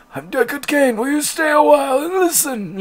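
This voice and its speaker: At a moderate pace, a put-on character voice speaks in a high pitch. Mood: playful.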